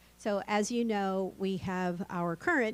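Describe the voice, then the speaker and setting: Using an ordinary speaking voice, a woman talks with ordinary pitch variation at a medium pitch. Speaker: county administrator. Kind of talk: meeting opening remarks.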